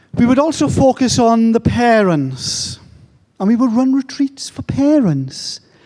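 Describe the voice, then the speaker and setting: This man's voice sits extremely high in pitch, with a dark, mellow tone. His intonation is lively and his pace fairly slow. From England. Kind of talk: conference talk. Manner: animated.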